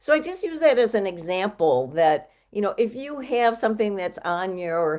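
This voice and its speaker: This woman has an ordinary speaking voice. She keeps a moderate pace with lively intonation. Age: 60s. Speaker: health coach. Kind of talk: interview.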